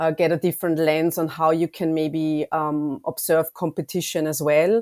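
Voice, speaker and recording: The recording is very clean, with a silent background and a dry, close sound with no echo. A woman speaks at a fairly slow pace in a very deep, low voice. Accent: German. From Austria. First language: German. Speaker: consumer insights lead. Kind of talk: interview.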